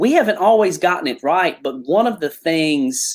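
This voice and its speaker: Speaking with a Southern US accent, a man moves at a moderate pace with ordinary pitch variation. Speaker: pastor. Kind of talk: interview.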